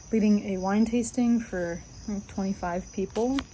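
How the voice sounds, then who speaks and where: Her voice is fairly high-pitched yet dark and mellow in tone, somewhat breathy, with ordinary pitch variation from this woman. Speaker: vlogger, restaurant server and musician. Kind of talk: casual vlog talk to camera. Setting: outdoors on front porch. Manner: halting with self-corrections.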